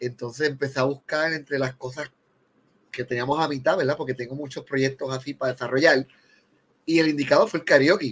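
The man speaks at a fairly high pitch with fairly even intonation. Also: fairly quick pace. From Puerto Rico. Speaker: film director. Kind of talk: casual chat.

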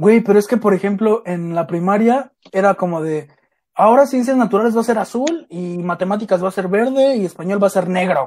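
This man's voice is high in pitch, with ordinary pitch variation and a fairly quick pace. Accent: Mexico City. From Mexico City (Iztapalapa). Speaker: podcast co-host. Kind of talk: casual chat.

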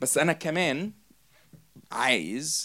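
This man speaks with a fairly high pitch. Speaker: preacher. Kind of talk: sermon.

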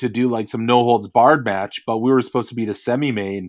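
A man in a Canadian accent talks at a fairly quick pace with a medium pitch. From Canada. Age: 40s. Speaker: pro wrestler and band musician. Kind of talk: casual interview. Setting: at home, remote call.

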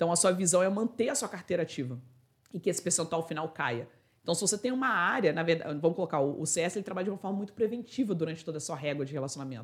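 A woman's fairly low voice at a very fast pace. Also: lively intonation. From Brazil, Itatiaia (Rio de Janeiro state). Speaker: customer success expert and author. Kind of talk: interview conversation.

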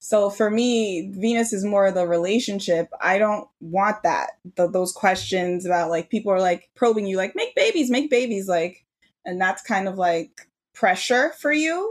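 A woman speaks in a plain, everyday voice at a medium pitch. Her pitch varies in an ordinary way. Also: moderate pace. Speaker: astrologer and tarot reader, podcast host.

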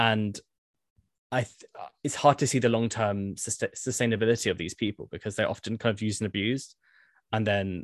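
A man with a British accent speaks at a very fast pace with fairly even intonation. The sound is dry and close with no echo, over a quiet background. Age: 20s. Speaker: civil servant and housing campaigner. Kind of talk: interview conversation.

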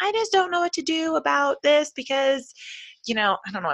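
A woman puts on a squeaky character voice, high-pitched with very wide pitch swings. She talks at a fairly quick pace. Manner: hesitant, unsure.

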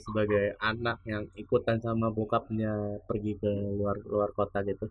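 Here a man speaks at a medium pitch. His pace is fairly slow. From Bekasi, Indonesia. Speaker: podcast host. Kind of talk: casual chat. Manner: animated.

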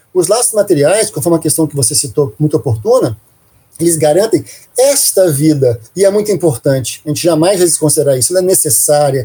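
Speaking at a fairly quick pace, a man with a fairly high pitch and a dark, mellow tone uses lively intonation. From Brazil, Minas Gerais. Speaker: spiritist family ministry coordinator. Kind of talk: interview. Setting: studio. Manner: animated.

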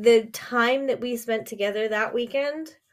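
With an animated tone, a woman speaks at a fairly slow pace and fairly high pitch, with ordinary pitch variation. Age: 40s. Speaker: wellness coach and podcast host. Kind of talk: solo podcast monologue.

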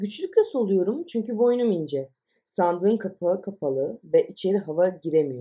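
Lively intonation and a dark, mellow tone carry this voice along at a moderate pace. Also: woman. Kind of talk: audiobook reading of absurdist short stories.

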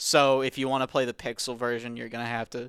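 Very clean and silent in the background, this recording of a man has a dry, close sound with no echo. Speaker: podcast host. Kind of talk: casual chat.

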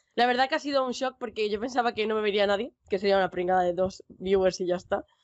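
In a Castilian accent, a woman talks very fast in a fairly high voice. Her intonation is lively. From Spain. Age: young. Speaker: Twitch streamer and pharmacy student. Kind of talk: casual chat.

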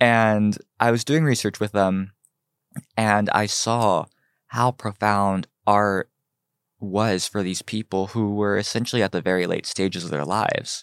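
Speaking at a fairly slow pace in an American accent, a man with a fairly low pitch keeps his intonation fairly even, in a very clean recording with a silent background and a dry, close sound with no echo. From Cincinnati, Ohio, US Midwest. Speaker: fashion designer. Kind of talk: casual interview.

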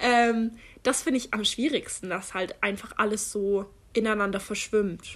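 A woman talks at a fairly slow pace in a plain, everyday voice. Her pitch is fairly high. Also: ordinary pitch variation. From Germany. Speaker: podcast co-host, university student. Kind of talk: casual chat.

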